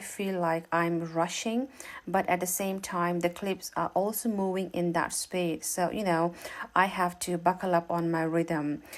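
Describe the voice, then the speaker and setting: An unremarkable speaking voice from a woman, fairly low in pitch, at a fairly slow pace with fairly even intonation. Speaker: travel vlogger. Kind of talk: vlog narration.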